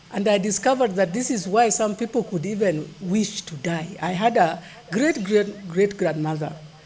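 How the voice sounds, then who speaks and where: Speaking at a moderate pace, a woman with a medium-pitched voice and ordinary pitch variation talks over noticeable background noise. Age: 60s. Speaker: nutrition expert giving a keynote. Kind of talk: keynote speech at a conference. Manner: conversational, with some halting repetitions.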